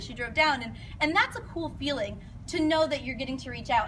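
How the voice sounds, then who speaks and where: Over noticeable background noise, a woman speaks in a raised, projected voice. Her pitch is high and her intonation lively. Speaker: fitness coach. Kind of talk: presentation to an audience. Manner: fast.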